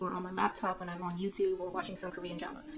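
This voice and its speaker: A woman speaks at a medium pitch while noticeable noise runs in the background. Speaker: YouTuber giving self-help advice. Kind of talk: casual vlog talk. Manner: casual, with fillers.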